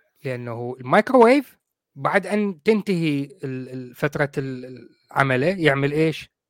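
A man with a fairly high pitch speaks at a very slow pace, his intonation lively. The recording is very clean with a silent background and a dry, close sound with no echo. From Iraq. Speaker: podcast host. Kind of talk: casual chat. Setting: live video stream. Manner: animated.

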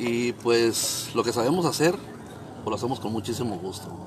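Over noticeable background noise, the speaker moves at a fairly quick pace with lively intonation. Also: man. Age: 50s. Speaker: mariachi musician. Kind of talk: interview.

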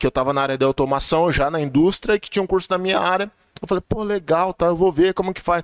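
A man's high voice at a very fast pace, dry and close with no echo. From Vale do Ribeira, São Paulo state, Brazil (Cajati). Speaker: technical school director. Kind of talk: casual chat.

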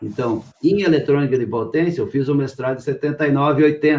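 A man speaks in a normal speaking voice at a moderate pace. His pitch is fairly high, with ordinary variation. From Rio Grande do Sul, Brazil. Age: 60s. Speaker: company founder, entrepreneur. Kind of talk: live interview.

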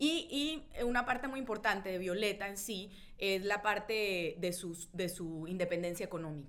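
Speaking with a Colombian accent, a woman uses medium pitch and lively intonation at a moderate pace. Audible room echo surrounds her voice. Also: hardly any pauses. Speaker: journalist and writer. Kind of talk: casual chat about a book.

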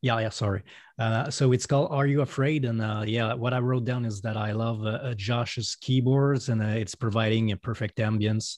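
Against a quiet background, a man with a Quebec accent and a medium pitch talks at a moderate pace with fairly even intonation and hardly any pauses. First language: French. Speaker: solo musician. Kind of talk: casual chat. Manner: halting.

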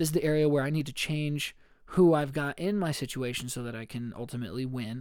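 A man speaks at a very fast pace in an upbeat tone. His pitch is medium and varies an ordinary amount. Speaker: podcast host. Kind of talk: solo motivational faith talk. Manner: casual and upbeat.

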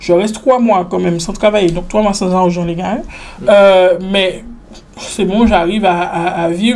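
Woman at a medium pitch, moderate pace and ordinary pitch variation, with audible room echo. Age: 20s. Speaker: entrepreneur. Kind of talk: casual interview.

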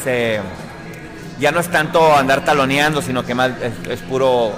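Ordinary pitch variation at a moderate pace, with audible room echo and noticeable background noise. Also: man. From Sonora, Mexico (Ciudad Obregón). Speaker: radio presenter. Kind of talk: casual interview.

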